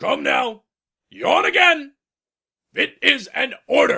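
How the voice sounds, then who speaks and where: A man performs a put-on character voice. His pace is very slow. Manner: pompous, commanding.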